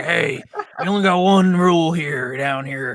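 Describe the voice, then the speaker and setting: A man with a fairly high pitch performs a put-on character voice. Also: moderate pace. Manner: mocking.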